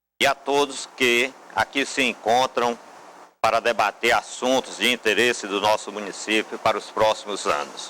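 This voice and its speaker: At a moderate pace, a man with a bright, sharp tone and medium pitch speaks with fairly even intonation. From Brazil, Ceará (Horizonte). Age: 60s. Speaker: mayoral candidate, civil engineer. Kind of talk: political debate statement. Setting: TV studio.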